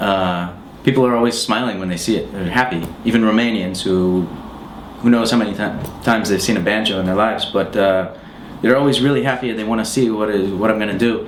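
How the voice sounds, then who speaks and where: A man with an American accent talks at a very fast pace, his pitch fairly low and his intonation fairly even. Audible room echo and noticeable background noise fill the recording. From US, Pennsylvania. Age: 30s. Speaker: musician. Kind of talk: interview answers. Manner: hesitant, many fillers.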